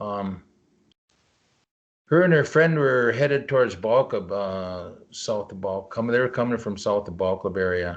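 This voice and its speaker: A man's ordinary speaking voice in an American accent, medium in pitch, with lively intonation, big swings in loudness and a quiet background. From Leech Lake Indian Reservation, Northern Minnesota. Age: 60s. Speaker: cryptozoologist. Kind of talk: interview answer.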